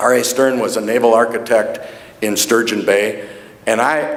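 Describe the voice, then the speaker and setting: A man of medium pitch with an American accent, at a moderate pace with ordinary pitch variation, amid audible room echo and noticeable background noise. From US Midwest, northeastern Wisconsin (Door County). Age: 60s. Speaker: hall of fame honoree. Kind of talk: acceptance speech. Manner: halting.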